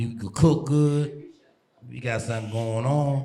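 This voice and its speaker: A man's dark, mellow, somewhat breathy voice with fairly even intonation. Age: 40s. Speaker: dating show contestant. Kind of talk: casual chat.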